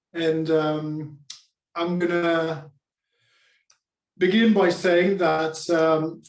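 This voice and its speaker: A man speaks with a Spanish accent. His intonation is monotone and flat. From Spain. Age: 40s. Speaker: public speaking coach. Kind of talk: talk to online group. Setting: video call.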